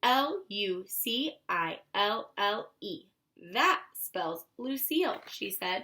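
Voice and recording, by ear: Over a quiet background, someone is reading aloud in a natural voice.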